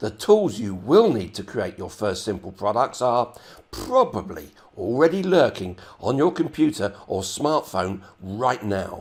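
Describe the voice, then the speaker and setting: A man talks at a fairly slow pace at a medium pitch. Both his pitch and loudness swing widely. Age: 70s. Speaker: online marketer. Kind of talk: sales pitch.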